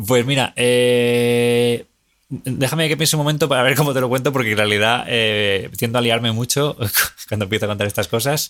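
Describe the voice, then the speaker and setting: A man with an unremarkable speaking voice, medium pitch and fairly even intonation speaks at a moderate pace with very even loudness on a very clean recording with a silent background. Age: 30s. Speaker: film director. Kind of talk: casual chat.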